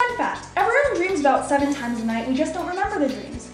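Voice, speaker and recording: Clear music plays in the background, and audible room echo surrounds the speech. A woman with a high voice speaks at a very fast pace. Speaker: narrator. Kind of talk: educational explainer voice-over. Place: bathroom.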